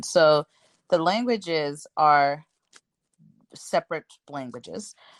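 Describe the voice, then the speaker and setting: Recorded dry and close with no echo against a quiet background, a woman speaks in a very deep, low pitch. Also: long, frequent pauses. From Zimbabwe. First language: Shona. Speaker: children's book author. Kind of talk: interview. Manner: hesitant, many fillers.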